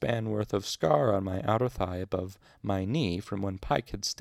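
Someone is reading aloud. The voice is natural.

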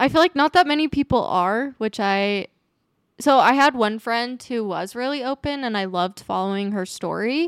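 A woman with an American accent and a plain, everyday voice talks at a moderate pace, fairly high in pitch with lively intonation. The recording is very clean and dry, with a silent background and a close sound with no echo. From Utah, US. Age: 20s. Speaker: guest sharing infertility and miscarriage story. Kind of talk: casual interview.

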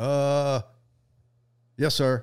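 Animated in tone, a man speaks at a fairly high pitch in a very clean recording with a silent background. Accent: Southern US. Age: 60s. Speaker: sniper instructor. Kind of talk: casual chat.

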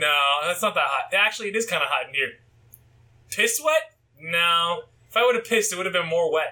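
A man with a high pitch speaks at a fairly quick pace, in a raised, projected voice with a bright, sharp tone. His intonation is lively, and he leaves long, frequent pauses. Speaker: podcast co-host. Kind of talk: casual chat.

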